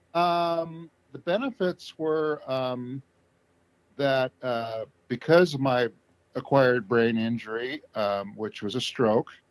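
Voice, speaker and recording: Speaking very slowly in an American accent, a man has a medium pitch and ordinary pitch variation. The sound is dry and close, with no echo. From US West Coast, Southern Oregon. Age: 60s. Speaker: stroke survivor. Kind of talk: interview. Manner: halting.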